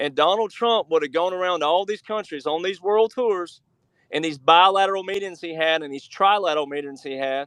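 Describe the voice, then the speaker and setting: In an Alabama accent, a man speaks at a high pitch with an animated tone. His pace is fairly quick, with ordinary pitch variation. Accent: Southern US (Alabama). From US South, Alabama. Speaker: researcher and author. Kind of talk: interview.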